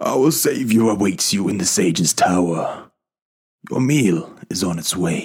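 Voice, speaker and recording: Putting on a character voice, a man speaks fairly slowly in a croaky, fairly low tone. His intonation is lively. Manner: bitter, curt.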